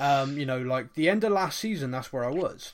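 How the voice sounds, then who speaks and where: An unremarkable speaking voice comes from a man with a fairly high pitch and ordinary pitch variation. The recording is very clean, with a silent background. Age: 30s. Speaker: football podcast host. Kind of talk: casual chat.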